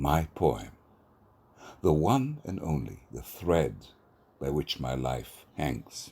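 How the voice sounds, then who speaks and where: A man's very deep, low voice with a dark, mellow tone and vocal fry, very slow, with long, frequent pauses. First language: Hebrew. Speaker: poet and theatre professor. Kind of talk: poetry reading.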